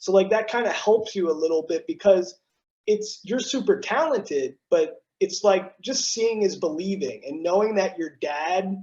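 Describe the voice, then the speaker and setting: With a slight East Coast accent, a man speaks at a high pitch and a moderate pace, with ordinary pitch variation. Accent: faint East Coast. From South Jersey (Cherry Hill), near Philadelphia. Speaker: TV news broadcaster. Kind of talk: casual interview chat. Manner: animated.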